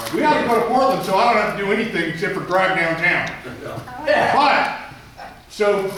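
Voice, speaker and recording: A man speaks loudly with lively intonation. Audible room echo and noticeable background noise surround his voice. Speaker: navy veterans association board member. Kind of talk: meeting discussion. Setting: meeting room, no microphone.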